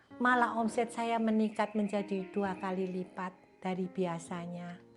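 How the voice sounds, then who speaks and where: The intonation is fairly even and the pace fairly slow. Music can be heard behind the speech. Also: woman. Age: 70s. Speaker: church member, food seller. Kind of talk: testimony.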